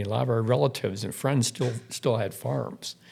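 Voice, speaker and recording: This man has an American accent and a medium pitch. His tone is dark and mellow, with vocal fry. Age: 60s. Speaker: outdoor writer. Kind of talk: podcast interview. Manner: halting, repeats words.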